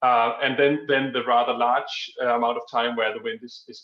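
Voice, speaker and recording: A fast-talking man with a Danish accent, his pace fairly quick. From Denmark. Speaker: energy industry expert. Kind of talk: Q&A answer at online conference. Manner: hesitant, many fillers.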